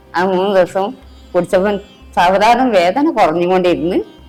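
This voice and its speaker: A woman's fairly low voice with ordinary pitch variation, music playing in the background. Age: 60s. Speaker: heart patient. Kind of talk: patient testimonial interview answer.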